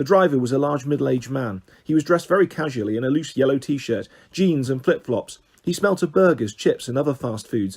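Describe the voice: Someone reads aloud plainly. Their intonation is lively.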